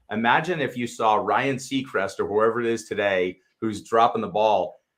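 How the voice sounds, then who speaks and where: This is a man at medium pitch. He talks at a moderate pace. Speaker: travel show co-host. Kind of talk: casual chat. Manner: loud.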